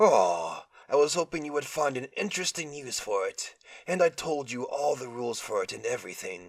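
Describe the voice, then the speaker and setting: Pitched fairly high, a man's voice takes on a put-on character. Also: moderate pace. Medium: read story. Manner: playful, mocking, easily bored.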